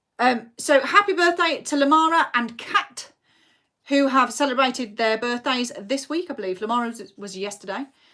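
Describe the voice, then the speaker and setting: A woman projects a raised voice at high pitch, bright and sharp in tone. Her intonation is lively, her loudness swings widely, and her pace is moderate. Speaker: quiz host. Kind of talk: virtual pub quiz hosting. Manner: animated.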